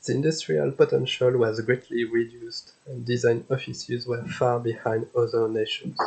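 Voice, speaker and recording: A man with a French accent, at a moderate pace with hardly any pauses. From France. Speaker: historian. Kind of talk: conference presentation.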